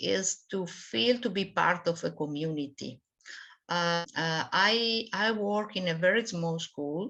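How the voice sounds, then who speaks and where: The speech moves at a very slow pace with ordinary pitch variation. Behind it, the background is quiet. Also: woman. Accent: non-native. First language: not English. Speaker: math and science teacher. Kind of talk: online expert talk. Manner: halting, many hesitations.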